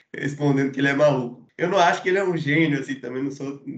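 Talking at a very fast pace, a man with a fairly high pitch keeps his intonation fairly even, and room echo is audible. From Salvador, Bahia, Brazil. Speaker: film podcast guest. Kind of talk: casual film discussion.

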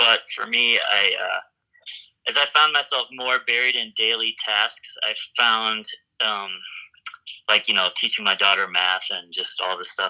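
Pausing long and often, a man with an American accent speaks at a fairly slow pace. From US South, Memphis, Tennessee. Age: 40s. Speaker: musician. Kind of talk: casual interview. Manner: halting, many fillers.

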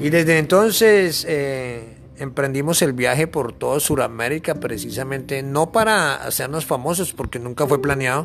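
A plain, everyday voice, this man's is fairly high-pitched, with ordinary pitch variation and hardly any pauses. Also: moderate pace. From Colombia, Bogotá. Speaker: traveling backpacker. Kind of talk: interview.

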